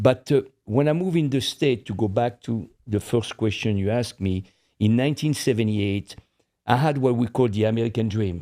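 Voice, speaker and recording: Speaking with a French accent, a man has a medium-pitched, dark, mellow tone and ordinary pitch variation, heard on a very clean recording with a silent background. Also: fairly quick pace. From France. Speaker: podcast co-host. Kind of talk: casual chat.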